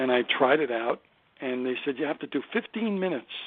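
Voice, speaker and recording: A man with a Brooklyn accent talks at a medium pitch and a fairly quick pace. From Brooklyn, New York. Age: 60s. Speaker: stand-up comedian. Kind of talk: interview.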